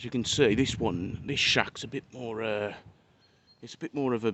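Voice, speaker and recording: A man speaks with a British accent at a medium pitch. His pitch varies in an ordinary way. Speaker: urban explorer vlogger. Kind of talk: casual vlog narration while exploring. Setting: outdoors.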